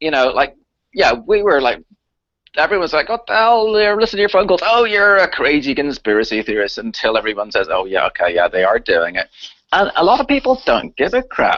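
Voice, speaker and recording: A man with a Northern Irish accent at a fairly quick pace, his loudness very even. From Northern Ireland, Belfast. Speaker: chemtrails activist and researcher. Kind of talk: interview on live talk radio. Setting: live radio show. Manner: animated.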